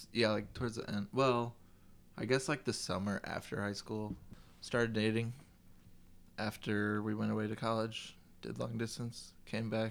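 A man's fairly low voice, monotone and flat, at a moderate pace with long, frequent pauses. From US Midwest, Chicago. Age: 20s. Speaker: guest. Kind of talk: casual chat.

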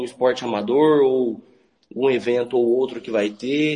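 Delivered at a fairly slow pace, an ordinary speaking voice keeps a fairly even intonation. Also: man. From Maracaju, Mato Grosso do Sul, Brazil. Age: 30s. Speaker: football club president, accountant. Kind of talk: live radio interview.

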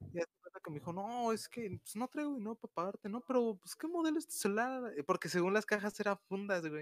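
Talking at a very fast pace with hardly any pauses, a man with a Mexican accent uses a high pitch, lively intonation and big swings in loudness, recorded with a dry, close sound and no echo. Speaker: podcast co-host. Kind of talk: casual chat.

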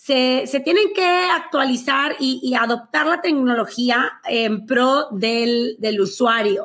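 Very slowly, a woman talks in a high pitch with lively intonation. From Mexico, Monterrey. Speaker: finance coach. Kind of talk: interview.

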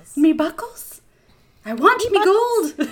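In a put-on character voice with an Irish accent, the speaker talks at an extremely high pitch. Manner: demanding, greedy.

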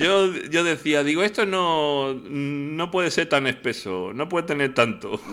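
A man speaks with a bright, sharp tone at a fairly high pitch. His pace is fairly slow, with hardly any pauses and lively intonation. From Alcalá de Henares, Madrid, Spain. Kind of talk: casual comedic chat.

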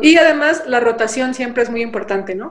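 Speaking at a high pitch and a fairly quick pace, a woman uses lively intonation. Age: 20s. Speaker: politician, party president. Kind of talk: interview.

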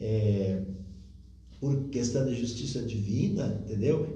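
With noticeable background noise and audible room echo around him, a man delivers his words at a fairly slow pace. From Rio Grande do Sul, southern Brazil. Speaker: spiritist speaker. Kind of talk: interview talk on spiritism.

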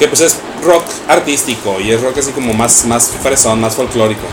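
Moderate-paced male speech at medium pitch with ordinary pitch variation and noticeable background noise. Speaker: radio host. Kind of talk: casual chat. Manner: halting.

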